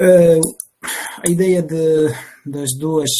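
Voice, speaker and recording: A man speaks with a non-native accent. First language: not Portuguese (speaking Portuguese). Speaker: bioethics researcher. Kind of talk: panel discussion. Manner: halting.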